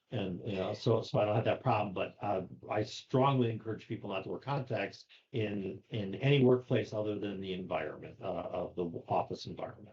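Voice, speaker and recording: This man sounds somewhat breathy, his pitch fairly low with ordinary variation. He moves at a fairly quick pace. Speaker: safety consultant and trainer. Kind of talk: casual podcast chat.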